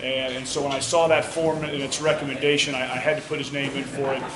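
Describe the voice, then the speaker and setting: Over noticeable background noise and audible room echo, a man with a fairly high pitch talks at a fairly quick pace in a monotone, flat intonation. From US South. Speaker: military officer. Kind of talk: award speech. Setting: school hall with audience.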